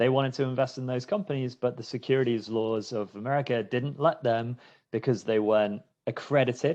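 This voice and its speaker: Against a quiet background, a man with a British accent talks at a fairly quick pace, his medium pitch showing ordinary variation. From UK. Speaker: startup fundraising executive. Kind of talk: webinar interview.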